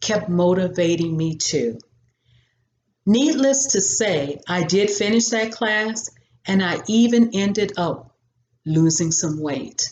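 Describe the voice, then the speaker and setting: An ordinary speaking voice from a woman, medium in pitch, with lively intonation at a fairly slow pace. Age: 60s. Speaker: lifestyle vlogger. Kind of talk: motivational talk to camera.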